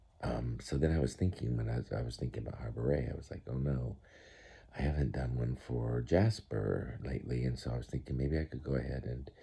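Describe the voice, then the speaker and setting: Soft-spoken and very deep in pitch, a man talks at a fairly quick pace with vocal fry, a dark, mellow tone and fairly even intonation. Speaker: grandfather making science videos for grandchildren. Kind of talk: casual talk to camera for a grandchild. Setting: indoors at home, early morning. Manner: halting.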